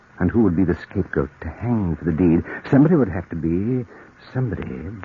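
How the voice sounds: Putting on a character voice, a man talks fast at a low pitch with a husky, rough edge and lively intonation.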